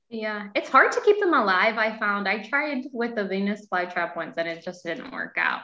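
A woman talks with lively intonation and hardly any pauses. The background is quiet, and room echo is audible. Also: fairly high pitch for a woman, moderate pace. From Canada. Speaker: workshop moderator. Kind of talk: webinar hosting. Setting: video call. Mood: friendly, lightly amused. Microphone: video call.

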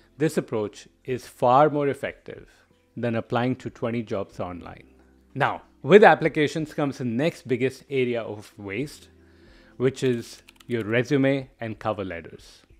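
A man with a medium pitch and ordinary pitch variation speaks at a fairly slow pace. His loudness swings a lot, and faint music plays in the background. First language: not English. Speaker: product management coach. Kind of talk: educational monologue video. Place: home room. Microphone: studio mic.

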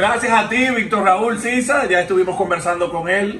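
In a Dominican accent, a man talks at a fairly slow pace, with audible room echo and light background noise. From Dominican Republic. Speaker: interviewer. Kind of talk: interview. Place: home room.

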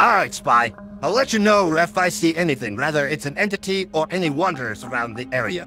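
A gruff, put-on character voice moves at a fairly quick pace with very wide pitch swings. Clear music plays in the background. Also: man, fairly high pitch for a man. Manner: blunt, gruff.

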